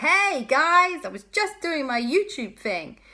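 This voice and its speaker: In a squeaky, put-on character voice pitched high, a woman speaks at a fairly slow pace. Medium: read story.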